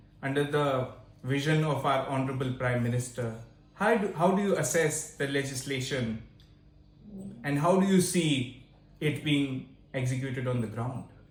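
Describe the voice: Under strong room echo, a man talks at a fairly slow pace and medium pitch with ordinary pitch variation.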